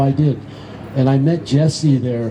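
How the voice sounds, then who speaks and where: A man with an American accent talks at a medium pitch with fairly even intonation. Crowd noise and audible room echo surround him. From Venice, Los Angeles, California. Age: 60s. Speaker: skatepark volunteer and community member. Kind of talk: storytelling speech at an event.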